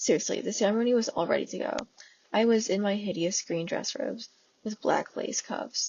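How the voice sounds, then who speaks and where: A soft-spoken woman's fairly high voice. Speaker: fanfiction audiobook reader. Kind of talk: reading aloud; casual chat.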